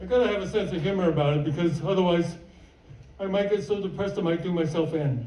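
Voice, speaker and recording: A man at a high pitch and a very fast pace, with audible room echo and noticeable background noise. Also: ordinary pitch variation. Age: 70s. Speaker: stand-up comedian. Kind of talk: stand-up. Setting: stage with audience.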